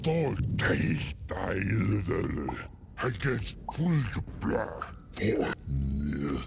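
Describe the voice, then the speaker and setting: Very slowly, a man speaks in a put-on character voice with a very deep, low pitch. Clear background noise can be heard. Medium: video game. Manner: babbling nonsense language.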